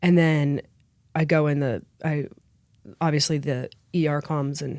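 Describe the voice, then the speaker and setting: With an American accent, a woman speaks in a very deep, low, dark and mellow voice with monotone, flat intonation on a very clean recording with a silent background. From Philadelphia area, Pennsylvania. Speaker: podcast guest. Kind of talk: casual interview. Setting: studio.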